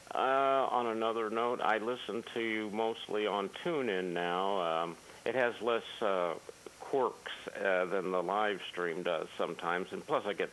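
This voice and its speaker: Speaking at a fairly slow pace, a man with an ordinary speaking voice keeps a fairly low pitch and ordinary pitch variation. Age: 60s. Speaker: caller. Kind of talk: casual chat.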